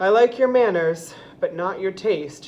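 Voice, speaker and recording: Putting on a character voice, a female-sounding voice speaks raspy at a medium pitch and a moderate pace. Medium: read story.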